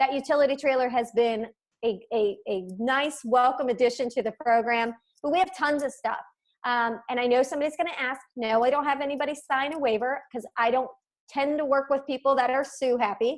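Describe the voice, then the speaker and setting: A woman talks in a high pitch at a fairly quick pace. Her pitch varies in an ordinary way. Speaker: real estate agent. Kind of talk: webinar presentation. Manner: fast.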